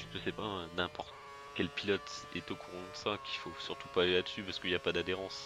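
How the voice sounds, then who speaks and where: With music playing behind him, a man speaks fairly quickly in a very deep, low pitch. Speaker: gaming youtuber. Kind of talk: gameplay commentary. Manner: fast; hesitant, many fillers.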